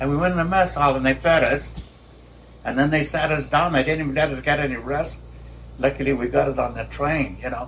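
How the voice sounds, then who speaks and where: Noticeable background noise sits under this man's fairly quick speech. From Denver, Colorado. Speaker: Army veteran. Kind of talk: interview answer. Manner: hesitant, halting.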